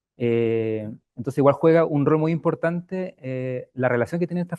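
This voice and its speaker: The man's voice has a fairly high pitch paired with a dark, mellow tone. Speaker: housing researcher. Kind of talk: academic Q&A answer. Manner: soft-spoken; hesitant, many fillers.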